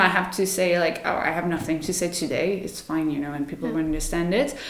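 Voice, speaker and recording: A woman with a French accent speaks at a very fast pace. The room echo is audible, and background noise is noticeable. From France. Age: 30s. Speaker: yoga teacher. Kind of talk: casual interview. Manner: spontaneous, hesitant with fillers.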